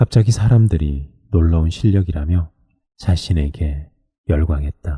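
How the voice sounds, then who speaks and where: A man speaks with a dark, mellow tone at a very deep, low pitch, somewhat breathy. The sound is dry and close, with no echo. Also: ordinary pitch variation, fairly slow pace. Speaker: sleep-book reader. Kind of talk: sleep story book reading.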